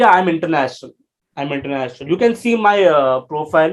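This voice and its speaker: A man with an Indian accent, lively intonation and a moderate pace. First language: Hindi. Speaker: life coach. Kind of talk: interview. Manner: halting.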